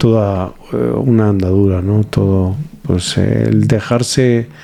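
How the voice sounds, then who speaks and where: Noticeable background noise sits behind a man speaking with a Spanish accent. His voice is fairly low, with ordinary pitch variation. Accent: Spanish (Spain), noticeable. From Spain, Valladolid. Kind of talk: interview.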